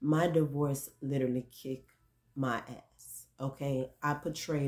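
Over a quiet background, a woman speaks at a fairly slow pace with a very deep, low pitch and a dark, mellow tone. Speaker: vlogger. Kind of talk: casual vlog monologue. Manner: rambling, filler words. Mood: reflective, candid about hurt. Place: home room. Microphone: phone near.

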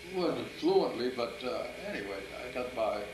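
There is noticeable background noise as a man speaks with an American accent. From US Midwest. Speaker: grandfather telling life story. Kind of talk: interview answer. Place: home room. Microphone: old recording.

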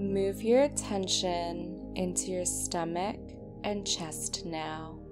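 A woman's very slow speech with music in the background. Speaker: meditation guide. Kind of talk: guided sleep meditation. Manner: slow, calm.

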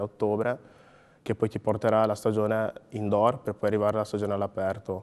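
Speaking at a very fast pace, a man keeps a fairly low pitch and a flat, monotone intonation. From Ghana, then Emilia-Romagna from age 11. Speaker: sprinter and logistics worker; interviewee. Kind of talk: interview. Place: studio.

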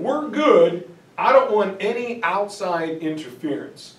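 Amid audible room echo, a man speaks very slowly with lively intonation. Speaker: teacher giving lecture. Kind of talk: lecture. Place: classroom. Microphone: camera far.

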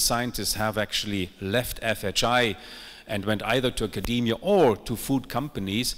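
The background stays quiet while a man talks. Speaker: food research consortium director and session chair. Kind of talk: conference presentation. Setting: stage with audience. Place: stage. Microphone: handheld.

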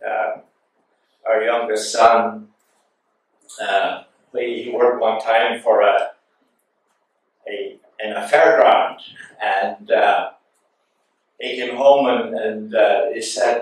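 Very slow speech from a man, with long, frequent pauses and strong room echo. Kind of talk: sermon. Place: church.

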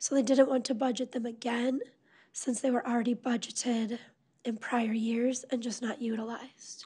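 A woman with an American accent speaks in a high pitch with a dark, mellow tone and flat, monotone intonation. The background is quiet. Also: moderate pace. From US Midwest. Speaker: city finance officer. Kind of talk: council meeting discussion. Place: meeting room.

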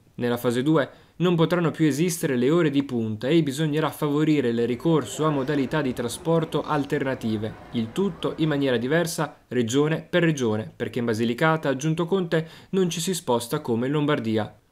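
Here a man with an unremarkable speaking voice talks at a fairly quick pace. His pitch is fairly high, with ordinary variation. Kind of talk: formal news reading. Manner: formal; steady, even-paced.

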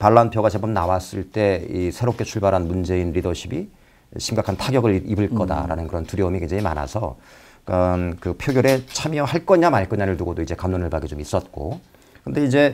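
In a very deep, low voice, a man talks at a fairly quick pace. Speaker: political commentator guest. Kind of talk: talk show commentary. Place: studio. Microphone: lapel.

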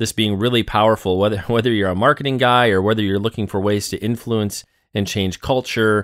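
A man speaks with a plain, everyday voice at a fairly low pitch. His intonation is fairly even, and the sound is dry and close with no echo. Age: 30s. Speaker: podcast host. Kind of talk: interview.

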